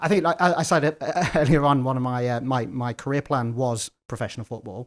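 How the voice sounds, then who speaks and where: On a very clean recording with a silent background, a man with an English Midlands accent speaks fairly quickly at a medium pitch with ordinary pitch variation. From English Midlands, Leicester. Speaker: lawyer and tech entrepreneur. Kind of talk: interview conversation. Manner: halting, repeats words.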